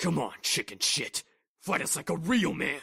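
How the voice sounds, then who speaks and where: A loud man's put-on character voice, high for a man, growling and intense with a dramatic tone, at a moderate pace. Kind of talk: battle taunt. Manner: loud, intense, overly dramatic.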